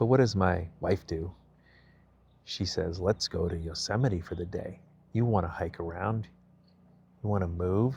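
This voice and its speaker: A man with a very deep, low pitch speaks at a moderate pace, somewhat breathy, with ordinary pitch variation. He leaves long, frequent pauses, and the recording is very clean with a silent background. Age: 50s. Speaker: vlogger. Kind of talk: personal vlog monologue. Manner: casual, with many fillers.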